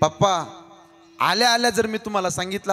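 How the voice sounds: The delivery is a natural reading voice.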